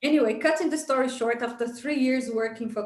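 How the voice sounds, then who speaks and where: Speech comes at a fairly quick pace with audible room echo. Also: woman. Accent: Portuguese. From Brazil. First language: Portuguese. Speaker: entrepreneur, business coach. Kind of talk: interview.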